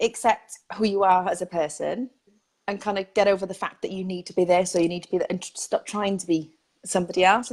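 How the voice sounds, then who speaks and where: A woman with a Welsh accent speaks at a medium pitch and a fairly quick pace, her intonation fairly even. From Wales. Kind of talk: casual, conversational. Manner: fast talker.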